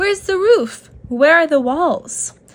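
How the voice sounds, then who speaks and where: Squeaky and extremely high-pitched, a woman puts on a character voice with very wide pitch swings, going at a fairly slow pace. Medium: read story.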